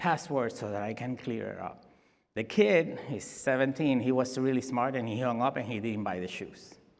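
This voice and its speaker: In a Spanish accent, the voice moves at a moderate pace with ordinary pitch variation amid audible room echo. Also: man. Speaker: security expert. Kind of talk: conference talk. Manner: halting.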